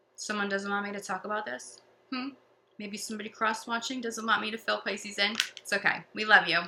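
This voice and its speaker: Against noticeable background noise, a woman of medium pitch speaks very fast with fairly even intonation. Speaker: tarot reader. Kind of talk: tarot reading. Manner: stutters at times.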